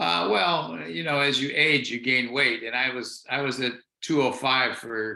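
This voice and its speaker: His tone comes across bright and sharp. A man talks at a medium pitch. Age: 70s. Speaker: fitness program client. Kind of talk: interview.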